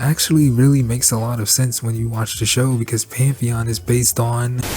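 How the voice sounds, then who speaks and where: There is noticeable background noise behind this speaker. A man at a medium pitch talks at a fairly quick pace. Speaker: cartoon reviewer. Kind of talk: video essay review narration.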